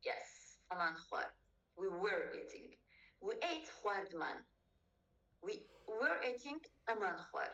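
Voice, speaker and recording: A woman's high voice in a Kurdish accent, very slow, with very wide pitch swings and long, frequent pauses. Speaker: language tutor. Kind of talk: tutorial.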